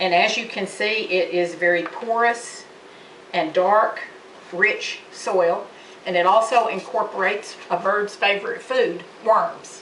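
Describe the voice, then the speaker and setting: Over noticeable background noise and audible room echo, a woman with a medium pitch speaks at a fairly slow pace with ordinary pitch variation. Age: 60s. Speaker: college student. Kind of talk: class demonstration speech. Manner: halting, with fillers.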